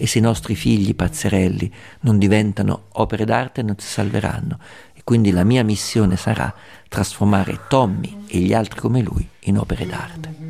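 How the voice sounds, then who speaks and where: At a moderate pace, a man with a fairly low pitch and a dark, mellow tone shows vocal fry, ordinary pitch variation and big swings in loudness. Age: 60s. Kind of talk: documentary narration.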